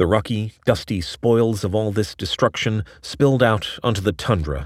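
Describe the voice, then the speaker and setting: A man talks in a normal speaking voice at a moderate pace and a fairly low pitch. The recording is very clean, with a silent background. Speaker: narrator reading an article aloud. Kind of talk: dramatic narration of a long-form science essay, read aloud. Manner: vivid, ominous storytelling cadence.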